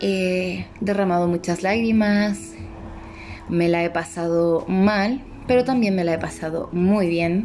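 Over noticeable background noise, the voice moves at a very slow pace with ordinary pitch variation. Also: woman, medium pitch for a woman. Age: 30s. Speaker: podcast host. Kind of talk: casual monologue. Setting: living room at home. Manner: halting.

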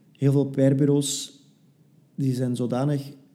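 A man speaks very slowly in a dark, mellow tone. His intonation is monotone and flat, with audible room echo. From Belgium, West Flanders. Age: 20s. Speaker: PR consultant. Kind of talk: interview.

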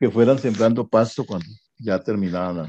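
A man's dark, mellow tone carries a fairly even intonation. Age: 70s. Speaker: family elder sharing memories. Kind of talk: interview.

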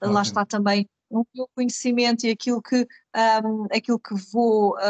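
Speaking at a fairly slow pace, a woman with a fairly high pitch keeps a fairly even intonation in a dry, close sound with no echo. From Portugal, Carcavelos (Lisbon area). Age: 30s. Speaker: podcast co-host, business leader. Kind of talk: casual conversational podcast. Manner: hesitant, many fillers.

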